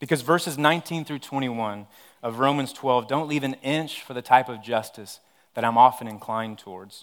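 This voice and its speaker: On a very clean recording with a silent background, a man with an American accent speaks at a moderate pace and medium pitch, with ordinary pitch variation. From West Texas (Odessa). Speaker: pastor. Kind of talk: sermon. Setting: church service.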